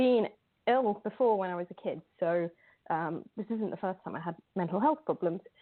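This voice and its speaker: A woman with a British accent talks at a moderate pace with lively intonation. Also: medium pitch for a woman. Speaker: mental health art advocate. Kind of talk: podcast interview.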